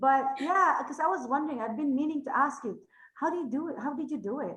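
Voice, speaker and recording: Talking at a very fast pace, a woman with a Filipino accent has a high pitch. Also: ordinary pitch variation. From Philippines. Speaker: podcast host. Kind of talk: casual interview.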